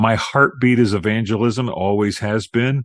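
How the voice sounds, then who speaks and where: A man speaks in an ordinary speaking voice at a moderate pace with ordinary pitch variation, the sound dry and close with no echo against a quiet background. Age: 60s. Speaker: author and minister. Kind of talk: interview about his book.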